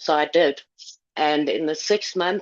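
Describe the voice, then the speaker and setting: A woman with an ordinary speaking voice and fairly even intonation. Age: 60s. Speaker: testimonial speaker. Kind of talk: testimony.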